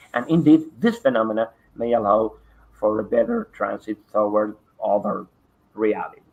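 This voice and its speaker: Speaking at a moderate pace, a man talks in a Spanish accent. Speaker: parapsychology researcher. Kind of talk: online conference presentation. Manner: halting, many fillers.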